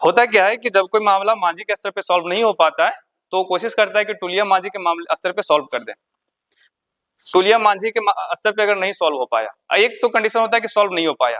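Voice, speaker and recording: A speaker with a Jharkhand accent. The pace is moderate. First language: Khortha (speaking Hindi). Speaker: exam coaching teacher. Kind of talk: lecture. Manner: repetitive dictation pace.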